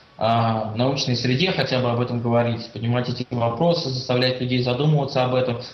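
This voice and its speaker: Male speech with fairly even intonation, noticeable background noise and audible room echo. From Russia, Saint Petersburg. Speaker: LGBT rights activist, student. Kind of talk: interview.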